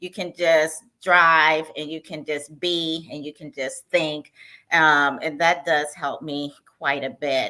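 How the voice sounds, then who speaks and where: A very slowly delivered voice with a bright, sharp tone, big swings in loudness and monotone, flat intonation, recorded very cleanly against a silent background. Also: woman, very deep, low pitch for a woman. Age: 60s. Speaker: retired university worker, travel guest. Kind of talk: casual interview on a livestream.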